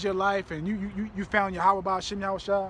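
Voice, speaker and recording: Speaking very fast in a raised, projected voice, a man sounds animated, his pitch high. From Virginia, US. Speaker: religious teacher. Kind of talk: bible teaching livestream.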